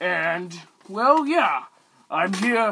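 In a raised, projected voice, a man speaks with a bright, sharp tone, high pitch and very wide pitch swings. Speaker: vlogger. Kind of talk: casual vlog monologue.

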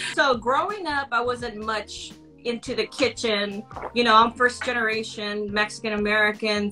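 A woman speaks at a fairly slow pace with ordinary pitch variation. Faint music plays in the background. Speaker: cooking channel co-host, remote guest. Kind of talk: interview answer. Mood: warm, upbeat. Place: home room. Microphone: video call.

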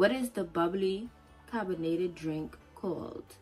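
A woman with a Turks and Caicos accent speaks at a fairly low pitch with ordinary variation in it. Music plays faintly behind her. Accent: Turks and Caicos Islander. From Turks and Caicos Islands. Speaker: vlogger. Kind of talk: casual talk to camera. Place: home room. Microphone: phone near.

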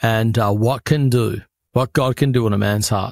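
A man speaks in a passionate tone with an Australian accent and fairly even intonation. The sound is dry with no echo, over a quiet background. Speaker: pastor and author. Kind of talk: interview answer. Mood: earnest, heartfelt. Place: home room. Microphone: studio mic.

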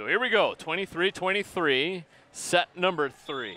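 A man's upbeat voice at a very slow pace, with a dry sound and no echo. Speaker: sports broadcaster. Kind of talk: sports commentary. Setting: high above the gymnasium, broadcasting a live game. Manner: upbeat broadcaster tone, rattling off stats and scores. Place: hall.

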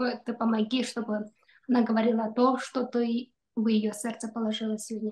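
A woman's fairly high voice, dark and mellow in tone, with monotone, flat intonation at a moderate pace. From Kyrgyzstan. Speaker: doctor; webinar host, speaker. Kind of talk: prayer; prayer and presentation talk. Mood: calm, earnest. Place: home room. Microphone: video call.

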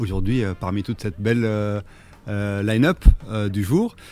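Light background noise sits behind a man speaking at a moderate pace, the sound dry with no echo. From Tunisia. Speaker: clothing brand founder; radio guest. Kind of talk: radio interview. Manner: halting. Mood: friendly, pleased. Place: studio. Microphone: studio mic.

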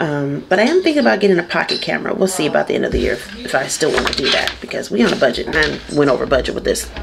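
Noticeable background noise surrounds a woman who speaks at a very fast pace. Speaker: vlogger. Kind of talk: casual vlog chat. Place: car. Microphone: phone near.

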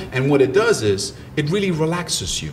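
Over noticeable background noise, a man talks with lively intonation. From Ivory Coast, later Germany. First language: French and German. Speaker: mindset coach and motivational speaker. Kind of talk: podcast interview.

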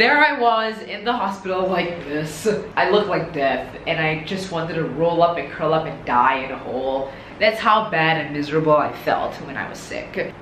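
Amid light background noise and audible room echo, a woman with a fairly low pitch speaks at a moderate pace, her loudness swinging widely. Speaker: fitness vlogger. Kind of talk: casual vlog chat. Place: studio.

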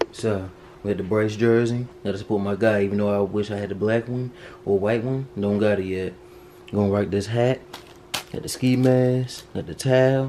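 A man with a plain, everyday voice speaks at a moderate pace with fairly even intonation over light background noise. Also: fairly low pitch for a man. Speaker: vlogger. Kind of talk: casual vlog chat. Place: home room. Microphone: phone near.

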